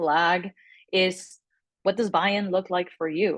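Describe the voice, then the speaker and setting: With a Spanish accent, a woman speaks at a moderate pace and medium pitch. Her pitch variation is ordinary, and the background is quiet. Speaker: communications director at an advocacy group, interviewee. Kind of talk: interview answer to a class group. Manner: conversational with many fillers.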